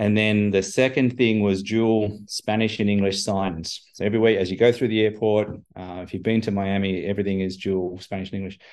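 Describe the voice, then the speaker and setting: Over a quiet background, a man talks at a fairly quick pace in a fairly low, monotone voice with hardly any pauses. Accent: Australian. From Australia. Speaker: chief information officer. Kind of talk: interview conversation.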